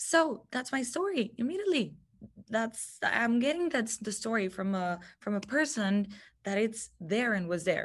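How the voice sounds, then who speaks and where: Against a quiet background, a woman with a Spanish accent talks at a moderate pace, fairly high-pitched and somewhat breathy. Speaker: TV news reporter. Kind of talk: guest talk with Q&A.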